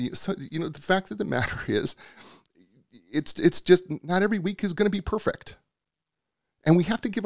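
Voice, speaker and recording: The delivery moves fairly quickly, with vocal fry throughout. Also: man. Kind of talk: scripted intro and interview. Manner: animated; excitable.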